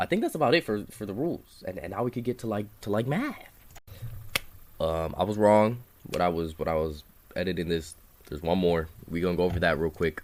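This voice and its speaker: Talking at a fairly quick pace with long, frequent pauses, a man with a very deep, low pitch shows ordinary pitch variation. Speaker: math tutor. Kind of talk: tutorial. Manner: fast; casual, hesitant.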